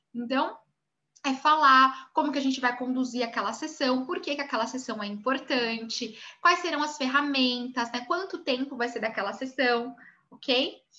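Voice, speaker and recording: In a raised, projected voice, a woman speaks with a high pitch, a bright, sharp tone and ordinary pitch variation. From Brazil. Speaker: image consultant and course instructor. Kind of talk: online class lecture. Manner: fast.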